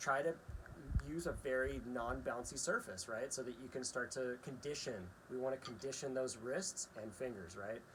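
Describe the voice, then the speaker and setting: A man's ordinary speaking voice at a medium pitch, with ordinary pitch variation and a moderate pace. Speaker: drum teacher. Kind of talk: tutorial. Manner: casual, frequent filler 'right?'.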